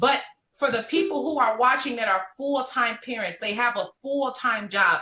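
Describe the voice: A woman speaks with a bright, sharp tone. Her pitch sits fairly high. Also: ordinary pitch variation, moderate pace.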